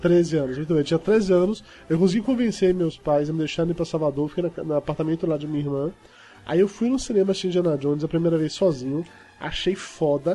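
Music plays in the background as a man talks at a very fast pace. His voice is high, with ordinary pitch variation. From Bahia interior, Brazil. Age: 40s. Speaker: podcaster. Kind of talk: casual chat.

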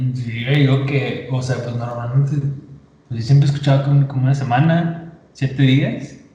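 A man talks at a fairly slow pace with a medium pitch and monotone, flat intonation. Audible room echo and noticeable background noise fill the recording. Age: 20s. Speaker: podcast guest. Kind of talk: casual chat.

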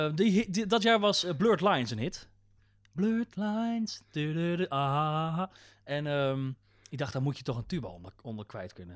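A man's fairly high voice at a moderate pace, with very wide pitch swings and big shifts in loudness, in a very clean recording with a silent background. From Netherlands, North Brabant ('s-Hertogenbosch). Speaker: radio and TV maker. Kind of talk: casual chat.

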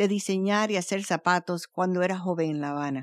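On a very clean recording with a silent background and a dry, close sound with no echo, a woman uses an ordinary speaking voice at a medium pitch with ordinary pitch variation. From Cuban family, raised in Venezuela. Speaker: storyteller podcast host. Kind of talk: scripted narration.

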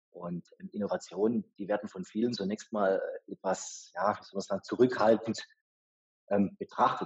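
A man is talking. His voice sounds dry and close, without any echo. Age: 40s. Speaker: venture capital investor. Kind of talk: interview.

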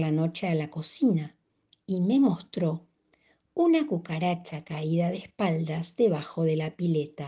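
Against a quiet background, a dark, mellow, somewhat breathy voice speaks at a very slow pace. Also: woman. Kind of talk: audiobook-style literary reading aloud of a short story. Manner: formal, clear, storyteller cadence.

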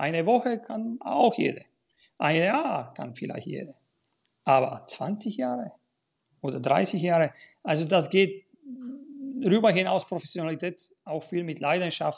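With a Bulgarian accent, a high-pitched man uses lively intonation. He speaks at a fairly slow pace with long, frequent pauses. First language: Bulgarian (speaking German). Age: 50s. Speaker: tennis school owner and coach. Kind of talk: casual chat.

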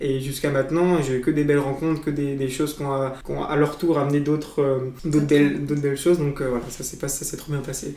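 Over noticeable background noise and audible room echo, a man with a fairly high voice speaks at a moderate pace in a flat monotone. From France, Blois (Loir-et-Cher). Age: 20s. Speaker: student on a cycling tour. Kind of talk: interview. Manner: halting, many fillers and repetitions.

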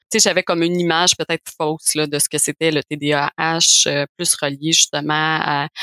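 A very deep, low-pitched woman's voice, bright and sharp in tone, monotone and flat, at a fairly slow pace, dry and close with no echo on a very clean recording with a silent background. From Quebec, Montreal. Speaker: osteopath and mother of four. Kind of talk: podcast interview, personal testimony.

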